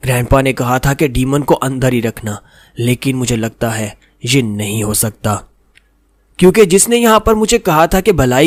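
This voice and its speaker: A man with a normal speaking voice talks at a medium pitch with lively intonation. The recording is very clean with a silent background, and the sound is dry and close with no echo. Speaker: voice-over narrator. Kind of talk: manhwa recap narration. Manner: casual, conversational storytelling.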